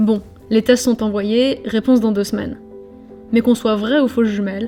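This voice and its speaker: Music in the background behind a woman's fairly high voice, moderate in pace and fairly even in intonation. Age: 20s. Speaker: documentary filmmaker. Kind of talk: scripted narration.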